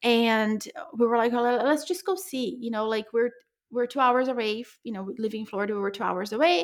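An ordinary speaking voice from a woman, fairly high in pitch, with lively intonation. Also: fairly quick pace. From Brazil, moved to US at 14. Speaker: entrepreneur. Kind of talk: interview. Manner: casual, frequent fillers.

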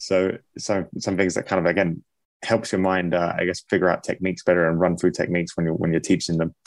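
A man's very deep, low voice in a southern English accent at a very fast pace, dry and close with no echo, on a very clean recording with a silent background. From England. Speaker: MMA fighter and gym owner. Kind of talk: casual interview.

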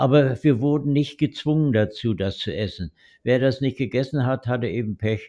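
A man speaks at a moderate pace with medium pitch, ordinary pitch variation and a dark, mellow tone. The sound is dry and close with no echo, over a quiet background. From Mecklenburg-Western Pomerania, northern Germany. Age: 80s+. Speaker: retired-age veterinarian, grandfather. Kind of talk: oral history interview. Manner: hesitant, with frequent fillers.

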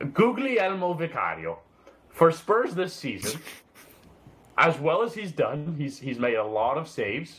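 A man speaks in a high voice at a fairly slow pace, his pitch swinging very widely, with long, frequent pauses and noticeable background noise. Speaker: podcast co-host. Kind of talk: casual chat.

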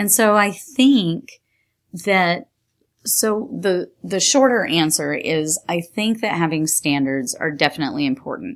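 A woman's fairly low voice at a fairly slow pace with very wide pitch swings, in a very clean recording with a silent background. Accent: American. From New York State. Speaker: engineering curriculum support specialist, teacher. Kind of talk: interview.

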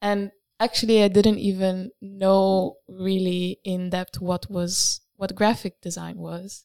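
Very slowly and in a flat monotone, a woman speaks with a dark, mellow tone, captured in a dry, close recording with no echo that is very clean over a silent background. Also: medium pitch for a woman. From Italy. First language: Italian. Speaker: graphic design student. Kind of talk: casual chat. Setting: studio.

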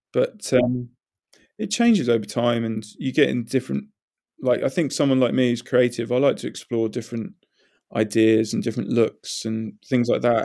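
Fairly even in intonation, a man speaks at a medium pitch and a moderate pace with a dark, mellow tone. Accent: southern English. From southern England, High Wycombe. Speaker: illustrator. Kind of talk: casual chat.

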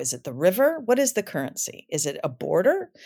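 Speaking with an American accent and vocal fry, a woman talks at a fairly quick pace in a very clean recording with a silent background. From Michigan, US Midwest. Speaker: actor and playwright. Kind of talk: casual interview chat.

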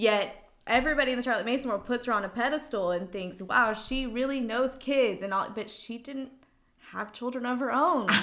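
A woman with a high pitch talks at a fairly quick pace, with ordinary pitch variation. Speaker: podcast host, homeschooler. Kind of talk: interview chat.

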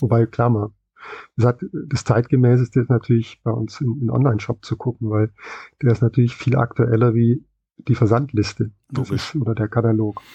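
Dry and close with no echo, a man's somewhat breathy, dark, mellow voice holds a medium pitch and monotone, flat intonation at a moderate pace. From West Germany. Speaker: comic shop employee. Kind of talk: interview.

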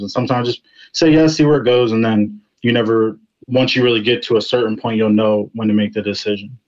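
A man's fairly low voice at a very fast pace. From Virginia. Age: 20s. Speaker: R&B singer. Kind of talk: interview.

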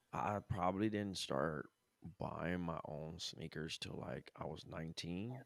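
Speaking fairly slowly, a man with a very deep, low voice shows vocal fry and lively intonation. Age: 30s. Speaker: creative in advertising, former basketball player. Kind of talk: casual chat.

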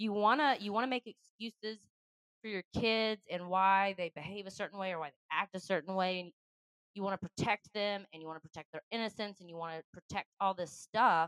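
A woman in a normal speaking voice, medium-pitched with ordinary pitch variation, at a fairly quick pace with big swings in loudness, in a dry, close sound with no echo. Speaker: podcast co-host. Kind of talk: casual chat.

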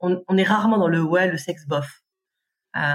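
A woman speaks at a fairly slow pace in a medium pitch, somewhat breathy, with ordinary pitch variation. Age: 40s. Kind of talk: casual chat.

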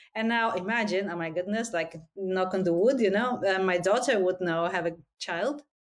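At a moderate pace, a woman with a non-native accent speaks at a medium pitch with ordinary pitch variation. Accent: foreign. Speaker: podcast host. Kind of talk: interview.

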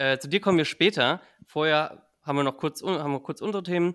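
Fairly quick and bright, a man's sharp-toned voice shows ordinary pitch variation. The very clean recording has a silent background and a dry, close sound with no echo. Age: 20s. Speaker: podcast host. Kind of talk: casual chat.

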